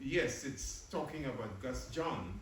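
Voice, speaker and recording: A man's fairly high-pitched voice, with noticeable background noise and audible room echo. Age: 80s+. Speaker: professor and activist. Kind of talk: post-screening talk and Q&A. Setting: screening event with live audience.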